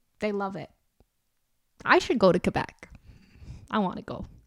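This woman speaks with an Albertan accent. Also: very clean recording, silent background. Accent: Canadian, Albertan. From Alberta, Canada. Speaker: podcast host. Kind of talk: casual comedic monologue. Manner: animated, jokey.

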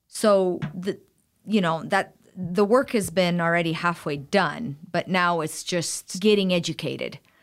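In a very clean recording with a silent background, a woman with an unremarkable speaking voice talks at a fairly slow pace, her fairly low pitch showing ordinary pitch variation. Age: 40s. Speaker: style consultant. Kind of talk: interview. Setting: studio.

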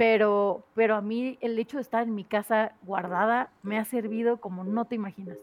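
With hardly any pauses, a woman speaks at a moderate pace in a normal speaking voice, fairly high in pitch with fairly even intonation. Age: 30s. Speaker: content creator. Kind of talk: casual chat.

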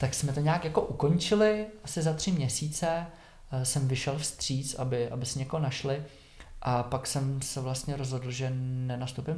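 Audible room echo surrounds a man with a medium pitch. His voice is somewhat breathy, with ordinary pitch variation. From Czech Republic, Šumava region (southwest Bohemia). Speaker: yoga teacher. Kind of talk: casual interview about his life.

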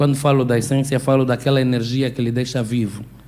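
Monotone and flat, a man's dark, mellow voice stays at a medium pitch. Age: young. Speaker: audience member. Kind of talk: audience question.

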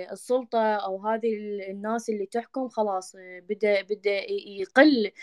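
Speaking at a very slow pace with an Iraqi accent, a woman uses fairly even intonation at a fairly high pitch, in a dry, close sound with no echo. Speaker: women's rights activist. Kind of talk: panel discussion.

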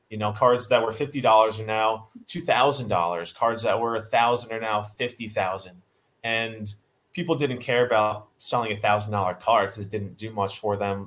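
Fairly quick in pace, this is a plain, everyday voice. The intonation stays fairly even. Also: man. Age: 20s. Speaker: auction house acquisitions head. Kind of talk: podcast interview.

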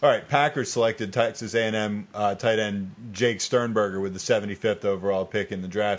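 Against a quiet background, a man with a normal speaking voice and an American accent talks at a fairly low pitch with fairly even intonation and hardly any pauses. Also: moderate pace. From US South, eastern shore of Virginia. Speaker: fantasy football podcast host. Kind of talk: casual chat.

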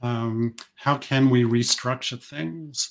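On a very clean recording with a silent background, a man with a New Zealand accent speaks at a medium pitch with fairly even intonation. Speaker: business coach. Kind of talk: interview conversation.

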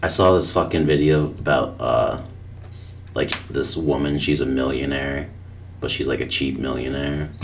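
Mumbling at a moderate pace, a man with a very deep, low pitch keeps a fairly even intonation over noticeable background noise. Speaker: podcast co-host. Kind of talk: casual chat.

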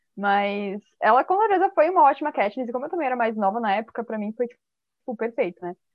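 Her pitch fairly high, a woman talks at a very fast pace with very wide pitch swings. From Santa Catarina, southern Brazil. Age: 20s. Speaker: podcast guest. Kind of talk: casual chat. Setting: video call.

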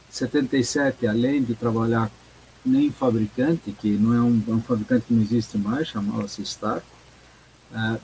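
Noticeable background noise is present. Through it comes a man's medium-pitched voice. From Brazil, São Paulo city. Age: 70s. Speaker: mechanical engineer and consultant. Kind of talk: interview. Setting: live stream.

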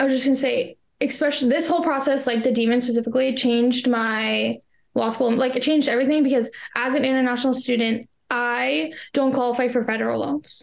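A woman with a Canadian accent, high-pitched and very fast, with fairly even intonation and very even loudness. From Canada. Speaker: law school applicant. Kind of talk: interview.

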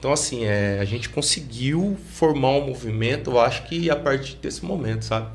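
With hardly any pauses, a man talks at a moderate pace amid audible room echo. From Pouso Alegre, Minas Gerais, Brazil. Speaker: graffiti artist and hip hop veteran. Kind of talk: interview conversation.

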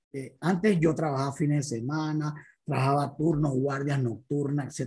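The speech comes at a fairly slow pace in a Panamanian accent. The recording is very clean, with a silent background. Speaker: motivational speaker. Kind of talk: motivational talk.

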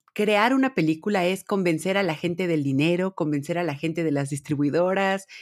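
A woman's normal speaking voice at medium pitch and moderate pace, with ordinary pitch variation, in a dry, close recording with no echo and a very clean, silent background. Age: 30s. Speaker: podcast co-host. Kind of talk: casual chat.

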